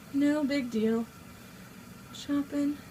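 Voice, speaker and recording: A woman with a high voice talks as noticeable background noise fills the recording. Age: 20s. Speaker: amateur home cook vlogger. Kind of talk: casual cooking tutorial. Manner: chatty, informal.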